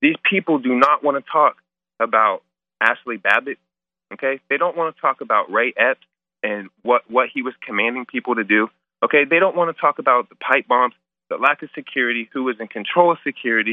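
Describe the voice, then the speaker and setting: Talking at a fairly quick pace, a man has an ordinary speaking voice, a fairly high pitch and ordinary pitch variation. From US Midwest, Ohio. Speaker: caller, formerly incarcerated. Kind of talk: phone-in testimony. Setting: phone call.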